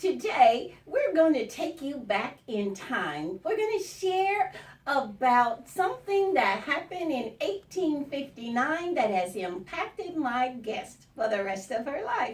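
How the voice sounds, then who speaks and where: Amid noticeable background noise, a woman speaks at a high pitch and a very slow pace with hardly any pauses. Her pitch swings very widely. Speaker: radio show host. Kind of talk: radio show opening.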